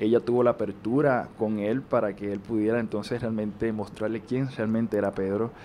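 In a Puerto Rican accent, a man with a fairly low pitch and a dark, mellow tone speaks in a monotone, flat way at a moderate pace with hardly any pauses, over light background noise. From Puerto Rico. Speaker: actor. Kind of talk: interview. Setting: on a TV set. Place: home room. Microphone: handheld.

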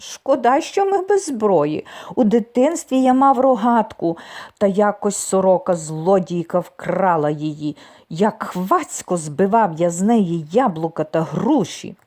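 Shaky put-on character voice at a fairly slow pace. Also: female-sounding voice, medium pitch for a woman.

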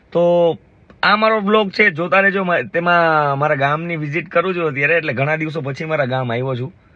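This man has an ordinary speaking voice. His pitch sits fairly high. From Gujarat, India (Jamnagar area). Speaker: vlogger. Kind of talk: casual vlog narration. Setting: outdoors, village farm.

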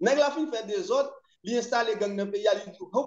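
Audible room echo hangs around this recording. A man speaks at a fairly quick pace with ordinary pitch variation. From Haiti. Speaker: commentator on Haitian politics. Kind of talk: political discussion. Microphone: video call.

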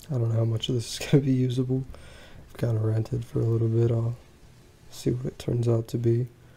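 A man speaks at a very fast pace in a dark, mellow, somewhat breathy tone. His intonation stays fairly even, broken by long, frequent pauses. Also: medium pitch for a man. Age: 20s. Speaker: vlogger and small business owner. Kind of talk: personal monologue vlog. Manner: halting.

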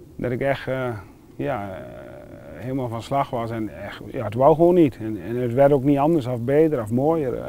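At a moderate pace, a man with a medium-pitched, dark, mellow voice and ordinary pitch variation swings widely in loudness, the sound dry with no echo and light background noise present. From Netherlands, Wapenveld/Wezep area (Gelderland); Gelderland, Netherlands. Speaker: churchgoer sharing faith story; interviewee. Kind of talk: testimony. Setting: outdoors. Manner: halting. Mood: earnest, personal, emotional story. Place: open country.

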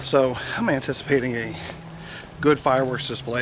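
Against noticeable background noise, a man speaks with a dry sound with no echo. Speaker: vlogger. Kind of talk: casual vlog chat. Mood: calm, reflective. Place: street. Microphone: phone near.

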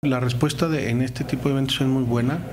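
Noticeable background noise surrounds a man speaking in a monotone, flat intonation. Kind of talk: interview answer. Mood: calm, informative. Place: office. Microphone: handheld.

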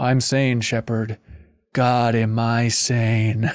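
Medium-pitched male speech in a put-on character voice, very slow and monotone, with flat intonation. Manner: sad, anguished, doubting.

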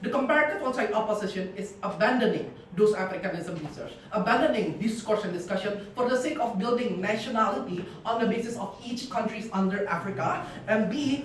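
Fairly quick speech with audible room echo and light background noise. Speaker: debater. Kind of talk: competitive debate speech. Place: classroom. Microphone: camera far.

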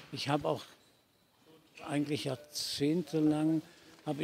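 A man's voice sounds dry, with no echo, over light background noise. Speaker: voice actor, dubbing and audio drama narrator. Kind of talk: interview answer. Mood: reflective, warm. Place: stadium.

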